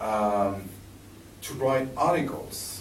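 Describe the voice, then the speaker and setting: A man speaks with a French accent. Room echo is audible along with noticeable background noise. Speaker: sports journalist and presenter. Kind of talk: public presentation. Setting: library talk with audience. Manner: halting.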